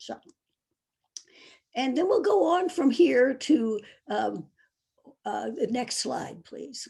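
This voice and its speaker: A woman speaks at a very slow pace with vocal fry. Her tone is dark and mellow, her pitch fairly high. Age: 80s+. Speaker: author and psychotherapist. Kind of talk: lecture. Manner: halting.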